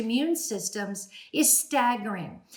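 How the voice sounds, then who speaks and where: There is noticeable background noise as a woman speaks at a fairly high pitch and a moderate pace. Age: 60s. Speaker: speech-language pathologist. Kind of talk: educational talk. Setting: at home.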